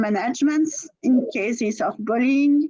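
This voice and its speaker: A woman speaks with a French accent. Her pitch is high. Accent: French accent, musical. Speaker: teachers' union representative. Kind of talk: prepared speech at webinar. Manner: halting, with self-corrections.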